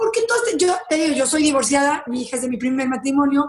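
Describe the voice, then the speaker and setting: This woman talks with lively intonation. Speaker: lawyer and social media personality. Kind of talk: interview. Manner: animated.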